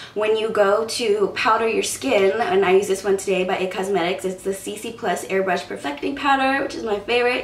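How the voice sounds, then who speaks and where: A woman of medium pitch talks at a fairly quick pace with hardly any pauses and ordinary pitch variation. Room echo is audible, and there is noticeable background noise. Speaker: beauty vlogger. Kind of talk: tutorial. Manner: casual, chatty.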